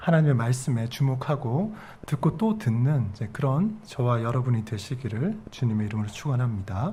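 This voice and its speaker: Amid audible room echo, a man with a medium pitch speaks at a moderate pace in a dark, mellow, somewhat breathy tone. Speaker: pastor. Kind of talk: sermon.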